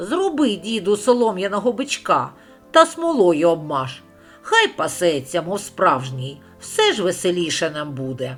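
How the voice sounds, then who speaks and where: Over faint music in the background, a man does a put-on character voice pitched high, with very wide pitch swings at a moderate pace. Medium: read story.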